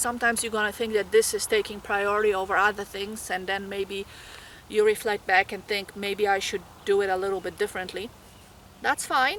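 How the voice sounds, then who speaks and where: Speaking with a Polish accent, a woman talks at a fairly quick pace with a fairly high pitch. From Poland. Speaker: graduate nursing student. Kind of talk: tutorial.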